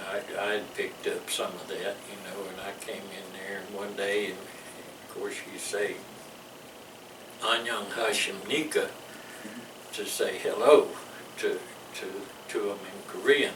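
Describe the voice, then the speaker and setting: A man with a Louisiana accent speaks at a fairly slow pace with long, frequent pauses and big swings in loudness, amid noticeable background noise and audible room echo. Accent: Southern US, Louisiana. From US South. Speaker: war veteran. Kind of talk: interview. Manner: halting.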